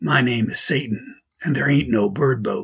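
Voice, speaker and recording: Growling in a put-on character voice, a man speaks at a medium pitch and a moderate pace. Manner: growling, menacing, evil.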